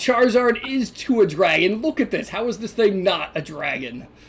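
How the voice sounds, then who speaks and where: Moderately paced speech in a put-on character voice pitched fairly high. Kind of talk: comic overacting. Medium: actual play. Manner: bombastic, blustering.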